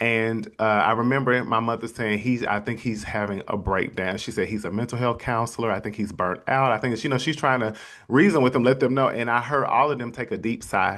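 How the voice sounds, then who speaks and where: A man's animated, medium-pitched voice at a fairly quick pace with hardly any pauses. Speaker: podcast host, motivational speaker. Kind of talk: personal testimony.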